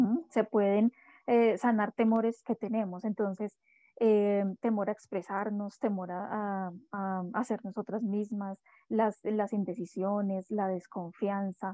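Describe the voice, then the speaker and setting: Over a quiet background, a woman speaks at a very slow pace with fairly even intonation. Her tone is dark and mellow, and the sound is dry and close with no echo. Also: medium pitch for a woman. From Colombia, Bogotá. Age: 40s. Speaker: dance therapist and astrologer. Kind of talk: interview.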